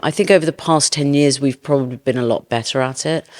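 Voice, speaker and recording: With a British accent, a woman speaks at a very deep, low pitch and with fairly even intonation. The recording is very clean and the background silent. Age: 50s. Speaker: beauty entrepreneur. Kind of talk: interview. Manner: hesitant, with repeated words.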